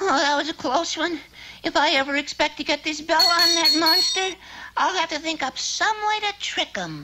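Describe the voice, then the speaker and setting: Loud background noise sits behind a cartoonish character voice pitched extremely high. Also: moderate pace. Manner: nervous, chattery, wisecracking.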